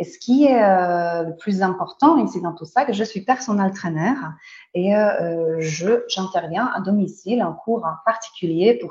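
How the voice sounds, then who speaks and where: Lively intonation and big swings in loudness mark this voice with a Polish accent. It is somewhat breathy and moves at a fairly slow pace. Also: woman. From Poland. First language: Polish (speaking French). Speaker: Pilates instructor and trainer. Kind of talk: webinar presentation. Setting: online webinar. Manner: halting, many hesitations.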